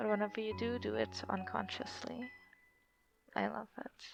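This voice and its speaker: Music can be heard in the background. Over it, a woman talks. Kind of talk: love letter read aloud to husband. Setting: home recording, poor audio. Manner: whispered.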